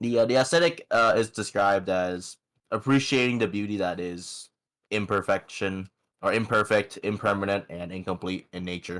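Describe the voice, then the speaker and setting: A man speaks at a moderate pace with a fairly low pitch and ordinary pitch variation, in a very clean recording with a silent background. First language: not English. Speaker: music podcast co-host. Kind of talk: casual chat. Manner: halting, many fillers.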